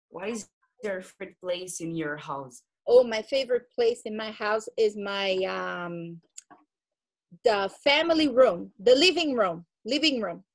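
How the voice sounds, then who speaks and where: A woman with a Portuguese accent speaks at a fairly slow pace. Her pitch swings very widely and her loudness rises and falls a lot. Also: fairly high pitch for a woman. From Brazil. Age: 40s. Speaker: English teacher. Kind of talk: casual Q&A chat with students. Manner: slow, simple English.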